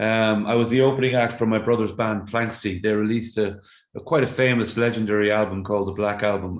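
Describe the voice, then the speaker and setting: A medium-pitched man with an Irish accent, talking at a fairly quick pace. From Ireland. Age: 60s. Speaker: singer-songwriter. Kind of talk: interview conversation. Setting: remote call from home. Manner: halting, repeats words.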